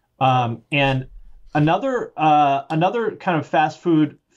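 An unremarkable speaking voice: a man with an American accent and a fairly high pitch talks at a fairly slow pace against a quiet background. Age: 40s. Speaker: music YouTuber. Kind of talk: casual chat.

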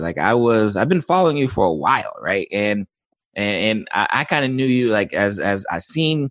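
This man has an unremarkable speaking voice at a medium pitch, talking at a fairly quick pace. His intonation is lively, and the sound is dry and close with no echo. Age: 30s. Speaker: podcast host and physician. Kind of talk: interview.

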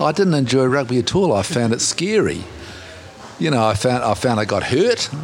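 Amid noticeable background noise, a man with a New Zealand accent speaks at a moderate pace and medium pitch, with very wide pitch swings and very even loudness. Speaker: commentator on masculinity. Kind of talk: interview.

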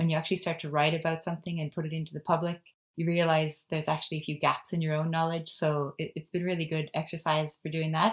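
A woman talks at a very fast pace in a monotone, flat intonation. The recording is very clean, with a silent background. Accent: Canadian. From Canada. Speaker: personal finance blogger. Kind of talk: interview.

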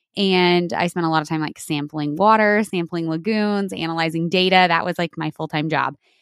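This woman has an ordinary speaking voice with fairly low pitch and fairly even intonation. She talks at a fairly quick pace with hardly any pauses, in a dry, close sound with no echo. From New Mexico, US Southwest. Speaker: dairy farmer and environmental consultant. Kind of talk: interview conversation.

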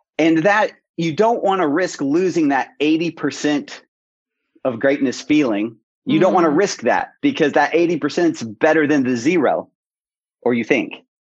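In a normal speaking voice, a man talks at a fairly slow pace with a fairly high pitch and lively intonation. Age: 30s. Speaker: coach. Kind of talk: interview.

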